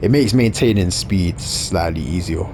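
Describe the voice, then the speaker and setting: With a South London accent, a man speaks at a moderate pace. His pitch is very deep and low, and music plays in the background. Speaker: gaming YouTuber. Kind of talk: gameplay commentary. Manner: casual, conversational.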